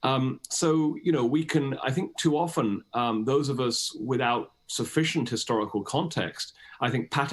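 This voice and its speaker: A man speaks with a British accent. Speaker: historian and author. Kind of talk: interview. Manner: hesitant, many fillers.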